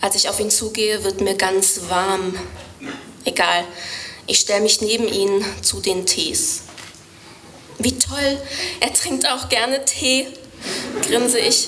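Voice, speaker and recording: Over light background noise, a woman talks at a very slow pace with long, frequent pauses, very even loudness and ordinary pitch variation. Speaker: poetry slammer. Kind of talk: poetry slam performance. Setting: live stage. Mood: wry, storytelling. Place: stage. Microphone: studio mic.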